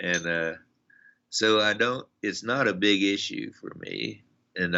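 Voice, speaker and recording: Speaking with an American accent, a man takes a fairly slow pace. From United States. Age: 70s. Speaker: psychotherapist and author. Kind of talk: podcast interview conversation.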